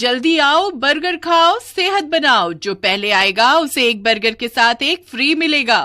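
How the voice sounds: Using a cartoonish character voice, a woman speaks at a fairly slow pace with a high pitch, lively intonation and a bright, sharp tone.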